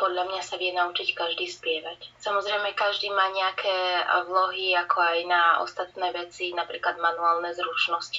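A woman speaks at a medium pitch in a normal speaking voice. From Slovakia, Banská Bystrica. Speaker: musician and singer. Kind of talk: casual interview.

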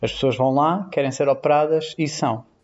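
A man speaks with a European Portuguese accent. His fairly high voice moves at a moderate pace. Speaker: nurse. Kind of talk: casual chat.

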